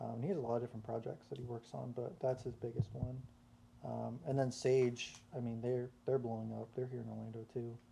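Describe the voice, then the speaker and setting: The voice, dark and mellow and somewhat breathy, moves at a fairly quick pace with fairly even intonation. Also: man, medium pitch for a man. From US South, South Carolina. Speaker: singer and songwriter. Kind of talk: casual chat.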